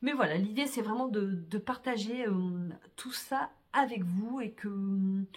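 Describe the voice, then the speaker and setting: Somewhat breathy and fairly high-pitched, a woman speaks at a very slow pace with ordinary pitch variation. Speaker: vlogger. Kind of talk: casual vlog talk to camera. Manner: hesitant, many fillers.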